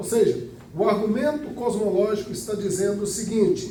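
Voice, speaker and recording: A man speaks in a high voice with ordinary pitch variation, and the recording has audible room echo and noticeable background noise. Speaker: Bible school teacher. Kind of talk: lecture.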